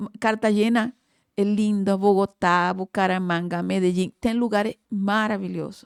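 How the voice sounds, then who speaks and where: With a Colombian accent, a woman speaks at a fairly slow pace in a medium pitch and a monotone, flat intonation, on a very clean recording with a silent background and a dry, close sound with no echo. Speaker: oral surgeon and facial aesthetics professor. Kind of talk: podcast interview.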